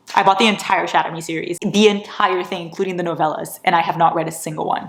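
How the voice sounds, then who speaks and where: A woman's fairly low, animated voice at a very fast pace. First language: not English. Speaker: book vlogger. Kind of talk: casual vlog haul.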